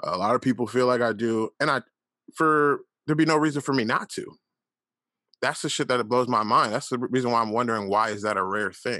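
A man speaks at a fairly quick pace in an animated tone. His voice has a bright, sharp tone. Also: medium pitch for a man, ordinary pitch variation, quiet background. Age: 30s. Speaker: podcast host. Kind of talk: casual monologue.

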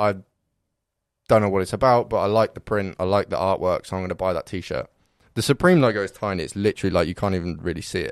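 A man with a southern English accent speaks at a fairly quick pace in a fairly low pitch. The sound is dry and close, with no echo. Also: very clean recording, silent background. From Reading, England. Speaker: podcast guest. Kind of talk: casual chat.

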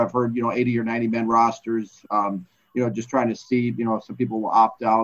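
This man has an American accent. He speaks at a fairly quick pace. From Minnesota, US. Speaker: former NFL scout and author. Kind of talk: interview. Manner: halting, repeats words.

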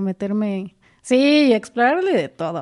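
Against a quiet background, the voice carries a dark, mellow tone. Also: woman. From Mexico, Morelos (Jiutepec). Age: 20s. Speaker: stage actress. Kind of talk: casual interview chat.

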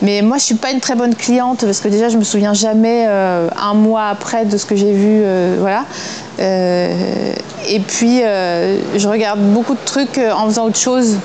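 The speech comes at a fairly slow pace with fairly even intonation. Noticeable background noise and audible room echo are present. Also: woman, fairly high pitch for a woman. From eastern France. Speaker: actress. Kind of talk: interview. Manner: casual, hesitant with fillers.

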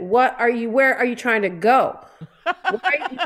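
Over noticeable background noise, a woman with an American accent speaks at a high pitch with ordinary pitch variation. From Detroit area (Downriver), Michigan. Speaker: comedian, performer. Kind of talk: casual chat.

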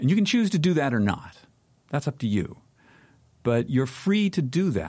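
A man's fairly high voice, dark and mellow in tone and somewhat breathy, at a moderate pace with long, frequent pauses, very wide pitch swings and very even loudness, on a very clean recording with a silent background. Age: 60s. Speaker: media founder and publisher. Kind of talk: interview conversation. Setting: studio.

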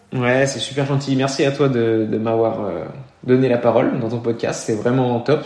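Over noticeable background noise and audible room echo, a man speaks at a moderate pace with a medium pitch and fairly even intonation. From eastern France (Burgundy/Beaujolais). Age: 20s. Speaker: triathlete. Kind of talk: interview.

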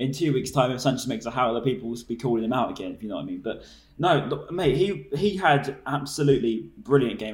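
The man talks at a very fast pace in a somewhat breathy voice. His pitch is medium, with ordinary variation. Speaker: podcast host. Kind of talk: casual chat.

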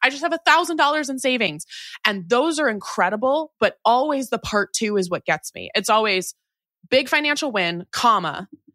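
A woman speaks at a moderate pace in an animated, bright, sharp tone, her pitch swinging very widely. The recording is very clean and silent behind her, with a dry, close sound and no echo. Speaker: personal finance expert and author. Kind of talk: interview conversation.

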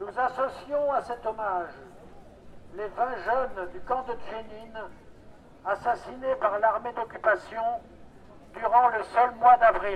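A man with an extremely high pitch and ordinary pitch variation speaks at a very slow pace, with long, frequent pauses over noticeable background noise. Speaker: activist. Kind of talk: speech at rally. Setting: outdoors. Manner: formal.

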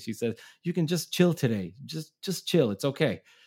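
A man is speaking. His tone is dark and mellow. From Israel, childhood in Brooklyn, New York. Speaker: punk musician. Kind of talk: casual chat. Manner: halting, many fillers and repetitions.

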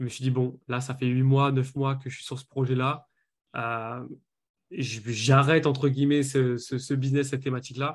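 A man talks at a moderate pace and a medium pitch. His intonation is monotone and flat, with big swings in loudness. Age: 20s. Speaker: business coach. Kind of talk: interview.

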